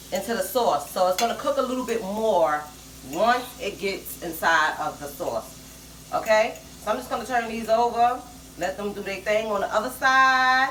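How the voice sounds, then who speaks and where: A woman's intonation is lively, and the recording carries audible room echo along with noticeable background noise. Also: fairly high pitch for a woman, moderate pace. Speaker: home cooking channel host. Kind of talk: cooking tutorial. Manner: casual, with many fillers.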